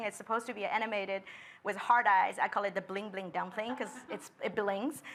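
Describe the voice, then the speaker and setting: A woman's voice comes across raised and projected, with a bright, sharp tone. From China, Shanghai. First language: Chinese. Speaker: designer. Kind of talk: panel discussion.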